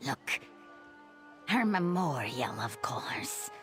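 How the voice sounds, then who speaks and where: Over clear music in the background, a put-on character voice at a middle pitch speaks at a fairly slow pace. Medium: machinima. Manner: curt, irritable.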